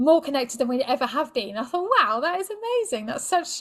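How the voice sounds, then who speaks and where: A woman with a British accent talks at a fairly quick pace in a very clean recording with a silent background. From Britain. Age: 40s. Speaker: sex and relationship coach. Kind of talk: podcast interview.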